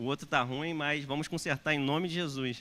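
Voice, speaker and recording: On a very clean recording with a silent background, a man's fairly high voice comes through bright and sharp in tone. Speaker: pastor. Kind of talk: sermon. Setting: church. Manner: hesitant with fillers. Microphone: unfamiliar new microphone.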